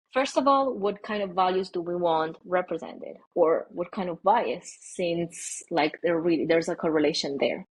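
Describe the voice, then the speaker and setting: A woman with an Italian accent, fairly low pitch and ordinary pitch variation, at a moderate pace with hardly any pauses, over a quiet background. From Italy. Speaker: AI ethicist. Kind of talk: podcast interview. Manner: hesitant, many fillers.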